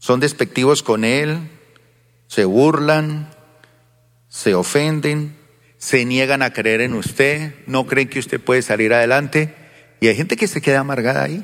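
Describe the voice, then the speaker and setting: The voice has an animated tone and ordinary pitch variation, moving at a fairly slow pace with long, frequent pauses. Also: man, fairly high pitch for a man. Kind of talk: sermon. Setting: church with congregation. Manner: animated, rhetorical, question-and-answer style with congregation; colloquial, folksy, mixing humor with exhortation.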